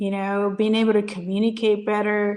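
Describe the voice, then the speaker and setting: A woman talks in a Spanish accent at a medium pitch. Her intonation stays monotone and flat. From Puerto Rico. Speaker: business coach and Air Force veteran. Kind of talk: interview. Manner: halting, many repetitions and restarts.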